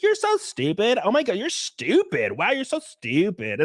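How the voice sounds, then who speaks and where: A put-on character voice with a Southern California accent moves at a moderate pace, dry and close with no echo. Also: man, extremely high pitch for a man. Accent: valley. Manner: mocking, insulting.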